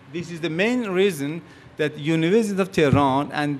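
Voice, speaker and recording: Lively in intonation, a man talks fairly quickly at a fairly high pitch, with room echo audible. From Iran. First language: Persian. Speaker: physicist. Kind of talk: conference talk.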